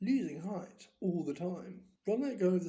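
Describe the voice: A plain reading aloud of text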